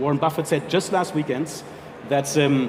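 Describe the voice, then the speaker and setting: A man with a strong German accent at a very fast pace, fairly high in pitch with ordinary pitch variation, over noticeable background noise. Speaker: health insurance executive. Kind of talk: panel interview.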